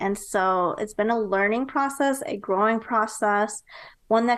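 A woman with a plain, everyday voice and an American accent speaks at a moderate pace and a fairly high pitch against a quiet background. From US Midwest, Nebraska. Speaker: entrepreneur and marketing strategist. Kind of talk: interview.

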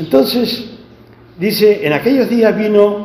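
A very slow pace over noticeable background noise, with audible room echo. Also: man. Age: 70s. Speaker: preacher. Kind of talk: sermon.

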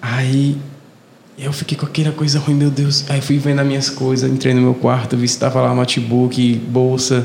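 In a Fortaleza accent, a man speaks at medium pitch and a moderate pace with flat, monotone intonation and very even loudness. Noticeable background noise sits behind him. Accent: Fortaleza (cearense). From Fortaleza, Ceará, Brazil. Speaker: podcast co-host. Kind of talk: casual chat.

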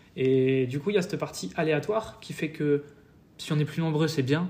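At a moderate pace, a man speaks at a fairly high pitch in a somewhat breathy voice. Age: 20s. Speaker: fitness youtuber. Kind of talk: interview.

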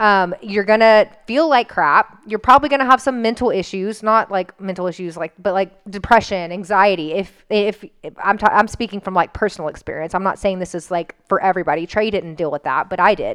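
An ordinary speaking voice at a fairly quick pace. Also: woman, medium pitch for a woman, ordinary pitch variation. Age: 30s. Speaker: nutrition coaching podcast co-host. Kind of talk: casual chat.

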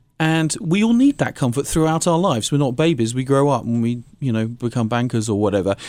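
On a very clean recording with a silent background, a man with a British accent and a fairly high pitch talks at a moderate pace with very wide pitch swings. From England. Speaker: music and health institute director.

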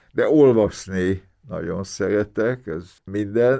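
The speaker has a dark, mellow tone and ordinary pitch variation, moving at a very slow pace. The recording is very clean against a silent background. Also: man. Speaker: immunologist and author. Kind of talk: interview.

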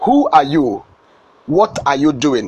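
A man with a Nigerian accent, fairly slow, with very wide pitch swings. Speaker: motivational speaker. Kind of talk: sermon. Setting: studio.

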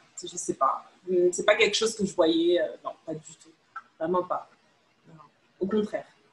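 The delivery is fairly slow and somewhat breathy, with long, frequent pauses and big swings in loudness. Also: woman, medium pitch for a woman, fairly even intonation. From Paris region, France. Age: 20s. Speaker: podcast guest sharing personal story. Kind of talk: casual interview. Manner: hesitant.

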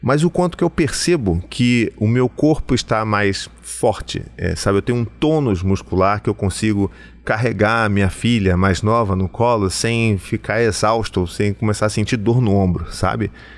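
This man has an ordinary speaking voice, fairly low in pitch with ordinary pitch variation. He keeps a moderate pace with hardly any pauses and very even loudness. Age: 40s. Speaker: psychoanalyst and podcast host. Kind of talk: solo podcast monologue. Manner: warm, conversational.

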